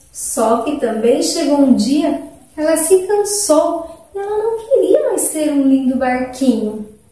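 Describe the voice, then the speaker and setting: A woman's high voice with very wide pitch swings, at a very slow pace, amid audible room echo. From Brazil. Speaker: school teacher; teacher. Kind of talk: storytelling for children. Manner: animated. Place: classroom. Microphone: phone near.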